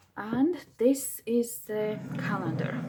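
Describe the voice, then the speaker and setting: A woman with a non-native accent speaks at a fairly high pitch with ordinary pitch variation. Noticeable background noise runs under her voice. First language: not English. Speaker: crafting video maker. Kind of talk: craft tutorial. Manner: enthusiastic; halting.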